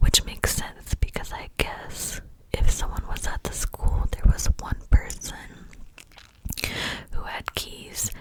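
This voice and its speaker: A woman whispers at a fairly slow pace while noticeable background noise carries on behind her. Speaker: ASMR creator. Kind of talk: whispered ASMR storytime. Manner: whispered, soft, relaxing.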